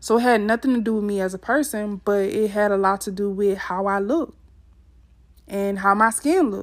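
At a moderate pace, a woman speaks with a fairly high pitch and ordinary pitch variation on a very clean recording with a silent background. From US South, Mississippi. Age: 20s. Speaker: podcast host. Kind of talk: personal storytelling monologue; motivational address to listeners.

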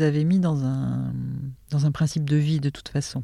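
At a moderate pace, a woman speaks in a very deep, low voice with a dark, mellow tone. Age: 50s. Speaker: life coach. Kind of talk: testimony.

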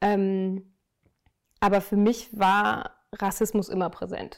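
A woman talks at a medium pitch in a flat, monotone delivery. The recording is very clean, with a silent background. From Germany, Münster (North Rhine-Westphalia). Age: 30s. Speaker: sustainability professional. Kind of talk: interview. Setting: outdoors.

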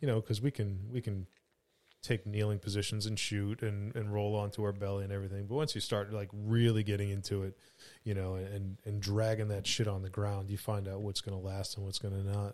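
In a very clean recording with a silent background, a man speaks at a fairly quick pace in a fairly low pitch, his intonation monotone and flat. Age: 40s. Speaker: fugitive recovery agent, former police officer. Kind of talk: casual chat.

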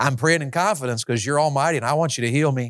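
A man with ordinary pitch variation in a very clean recording with a silent background. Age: 50s. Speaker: evangelist. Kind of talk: sermon. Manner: animated.

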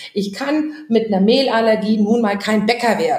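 With audible room echo, a woman with a fairly high pitch sounds somewhat breathy and animated, her intonation lively at a moderate pace. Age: 40s. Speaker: social entrepreneur. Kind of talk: casual chat.

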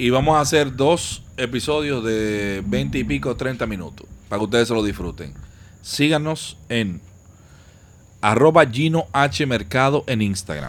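A man with a Dominican Cibao accent, at a fairly slow pace, with very wide pitch swings. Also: medium pitch for a man. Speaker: podcast host. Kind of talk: casual chat.

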